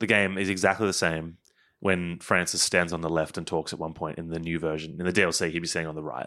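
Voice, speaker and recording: Speaking very fast with an Australian accent, a man has a very deep, low pitch and a bright, sharp tone. His intonation stays fairly even against a quiet background. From Queensland, Australia. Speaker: game producer. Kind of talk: casual chat.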